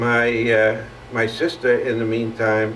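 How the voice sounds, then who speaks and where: Against noticeable background noise, a man with a German accent speaks at a very slow pace. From Germany. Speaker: Holocaust survivor. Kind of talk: oral history testimony. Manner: hesitant, halting.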